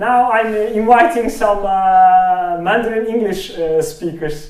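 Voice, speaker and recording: A man with a Turkish accent, high in pitch, at a very slow pace, with noticeable background noise and audible room echo. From Turkey. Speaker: speech recognition researcher. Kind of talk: technical talk with live demo. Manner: halting, many fillers.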